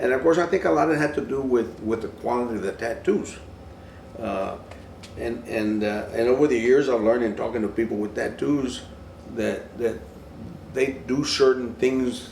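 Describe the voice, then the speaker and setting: At a moderate pace with long, frequent pauses and ordinary pitch variation, the voice comes through noticeable background noise and audible room echo. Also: man, medium pitch for a man. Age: 70s. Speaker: interviewee on tattoo culture. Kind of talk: documentary interview. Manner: halting.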